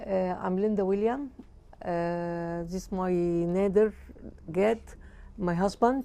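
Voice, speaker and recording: With an Egyptian accent, a woman speaks very slowly in a dark, mellow tone, with ordinary pitch variation and long, frequent pauses. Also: medium pitch for a woman. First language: Arabic. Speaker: service user. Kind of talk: testimonial interview. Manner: halting.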